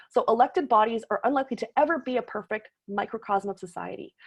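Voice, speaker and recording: A woman speaks at a fairly quick pace. She has a Canadian accent. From Toronto, Canada. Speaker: political science professor. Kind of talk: lecture. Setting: video call. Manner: fast.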